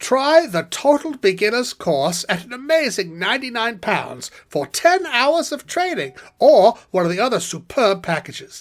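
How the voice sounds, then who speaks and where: A put-on character voice at a fairly high pitch, with very wide pitch swings, a moderate pace and hardly any pauses, in a very clean recording against a silent background. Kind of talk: TV commercial read.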